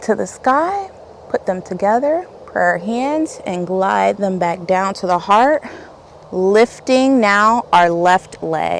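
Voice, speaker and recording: Over noticeable background noise, a woman at a medium pitch speaks very slowly with lively intonation. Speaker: yoga instructor. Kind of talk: yoga class instruction.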